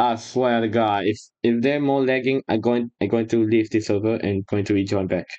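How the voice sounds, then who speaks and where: An ordinary speaking voice from a man at medium pitch, moderate in pace, with fairly even intonation and very even loudness. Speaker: gaming YouTuber. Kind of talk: casual gameplay chat. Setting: voice chat online.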